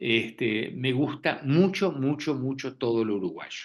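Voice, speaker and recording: This man's voice sits at a medium pitch. He talks with an Italian accent. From Argentina, Buenos Aires. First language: Italian (speaking Spanish). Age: 70s. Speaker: physician and author. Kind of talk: lecture. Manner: halting, frequent repetitions.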